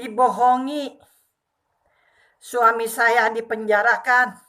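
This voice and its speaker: Speaking at a very slow pace, a woman with a fairly high pitch uses a bright, sharp tone and monotone, flat intonation. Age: 60s. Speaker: retired civil servant and religious preacher. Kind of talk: testimony.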